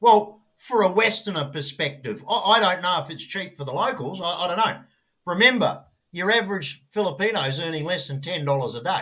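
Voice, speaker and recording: With an Australian accent, a man talks at a fairly quick pace in a high-pitched, bright, sharp voice, his intonation lively and his loudness swinging widely. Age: 60s. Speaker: traveller sharing experiences. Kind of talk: casual group chat.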